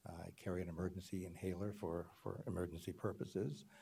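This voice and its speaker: With an American accent, a man with a very deep, low pitch and a dark, mellow tone talks at a moderate pace with ordinary pitch variation. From Los Angeles, US. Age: 80s+. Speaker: small business advocate, public commenter. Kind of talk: public comment. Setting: auditorium meeting. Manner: halting.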